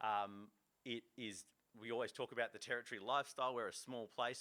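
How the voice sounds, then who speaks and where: Talking at a fairly quick pace with an Australian accent, a man keeps fairly even intonation in a bright, sharp tone. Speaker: fishing association executive. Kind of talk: conference talk. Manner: fast; halting, many fillers.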